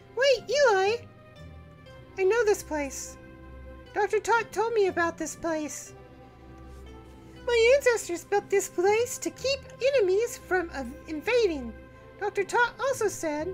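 Over clear music in the background, a put-on character voice with lively intonation moves at a fairly slow pace with long, frequent pauses. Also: woman, extremely high pitch for a woman. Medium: virtual streamer. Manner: curious, naive, bratty.

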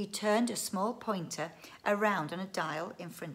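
The voice is plain reading aloud with ordinary pitch variation.

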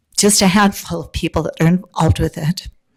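At a moderate pace, a woman talks with vocal fry and ordinary pitch variation. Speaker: public commenter at county meeting. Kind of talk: public comment.

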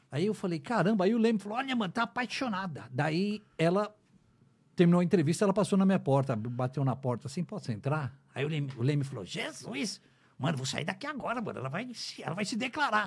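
Against a quiet background, a man talks at a very fast pace in a high pitch. His pitch swings very widely. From Brazil. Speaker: radio announcer. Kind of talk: casual chat. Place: studio. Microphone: studio mic.

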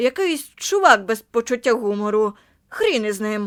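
Using a put-on character voice at a fairly high pitch, a woman speaks with lively intonation in a dry, close sound with no echo and a very clean recording with a silent background. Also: moderate pace. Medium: read story. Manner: casual, offhand.

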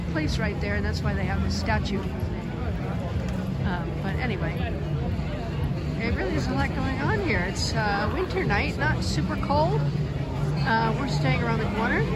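A fairly slow delivery, dry with no echo, over crowd noise in the background. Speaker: travel vlogger. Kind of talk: casual vlog chat. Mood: happy, relaxed. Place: street. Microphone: phone near.

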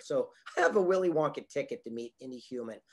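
Lively intonation colors a man's fairly quick delivery. Behind him, all is quiet. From Southern California. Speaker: motivational speaker and author. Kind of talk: interview. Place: home room. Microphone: webcam.

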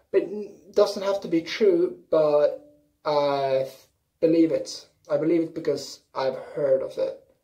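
A woman with a Swedish accent speaks at a very slow pace against a quiet background. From Sweden. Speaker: YouTuber. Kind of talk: casual vlog. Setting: bathroom. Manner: animated.

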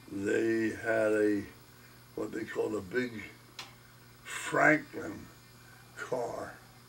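A man speaks very slowly with long, frequent pauses against light background noise. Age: 80s+. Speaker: grandfather. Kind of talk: interview answer. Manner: casual, rambling. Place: home room. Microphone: camera far.

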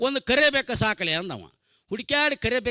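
Projecting his raised voice with a bright, sharp tone, a man swings very widely in pitch over a dry, close sound with no echo. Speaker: comedian. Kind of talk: stand-up. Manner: animated, acting out characters.

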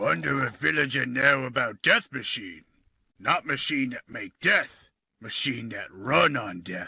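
A man's raspy, put-on character voice at a fairly slow pace. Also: medium pitch for a man. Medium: voice reel. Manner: broken, simple speech.

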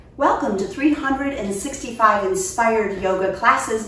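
Over light background noise and audible room echo, a woman speaks at a very slow pace. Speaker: yoga instructor. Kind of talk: tutorial. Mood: calm, soothing. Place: home room.

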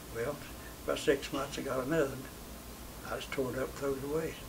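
Over noticeable background noise, a man with a Southern Appalachian accent speaks at a fairly quick pace. His pitch is fairly high and his intonation monotone and flat. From Tennessee, USA. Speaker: WWII veteran. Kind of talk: interview answer. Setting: interview setting.

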